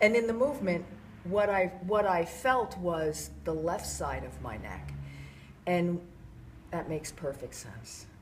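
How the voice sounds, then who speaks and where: With an American accent, a woman speaks at a fairly slow pace with long, frequent pauses and big swings in loudness, and audible room echo is heard. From US East Coast. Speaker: workshop participant. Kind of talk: personal reflection.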